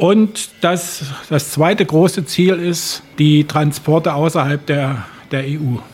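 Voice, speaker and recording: Speaking at a very slow pace, a man has a fairly high pitch. His pitch varies in an ordinary way. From Germany. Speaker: animal welfare volunteer. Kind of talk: interview. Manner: halting, repeats words.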